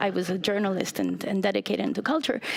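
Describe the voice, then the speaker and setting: Noticeable background noise sits behind this voice. A woman speaks at a medium pitch. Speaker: urban innovation lab director. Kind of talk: conference talk. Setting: stage with audience. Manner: loud.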